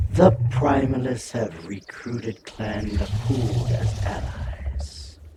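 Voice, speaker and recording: A man uses a put-on character voice at a medium pitch and a very slow pace, with a slight echo. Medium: video game. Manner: serious, urgent.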